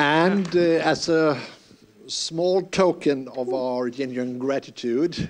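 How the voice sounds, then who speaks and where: A man with a fairly high pitch and a Finnish accent, very slow pace, ordinary pitch variation. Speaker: university representative. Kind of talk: closing thanks.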